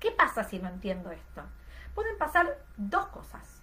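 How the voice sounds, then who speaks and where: Against noticeable background noise, a woman speaks with very wide pitch swings. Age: 30s. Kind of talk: online class lecture.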